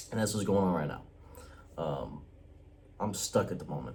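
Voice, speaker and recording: Recorded with audible room echo, a man speaks at a very deep, low pitch in a dark, mellow tone. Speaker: vlogger. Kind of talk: casual vlog monologue. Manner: quiet, keeping voice down; casual, hesitant with fillers.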